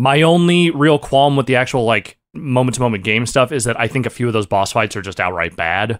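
An unremarkable speaking voice from a man with an American accent, medium pitch and lively intonation, fairly quick pace with hardly any pauses, on a very clean recording with a silent background. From Northern California. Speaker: podcast co-host. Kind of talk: casual chat.

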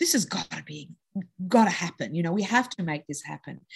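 Somewhat breathy, a woman with an Australian accent speaks at a fairly quick pace with very wide pitch swings. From Australia (Sydney). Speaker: entrepreneur, company co-founder. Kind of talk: interview conversation.

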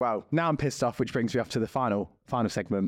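A man with an Essex accent, at a very fast pace. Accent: Essex English, still kept. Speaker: podcast co-host. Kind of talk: casual chat.

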